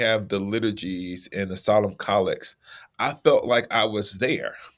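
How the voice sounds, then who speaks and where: Here a man talks at a medium pitch in a normal speaking voice. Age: 40s. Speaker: theologian and author. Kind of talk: casual interview conversation.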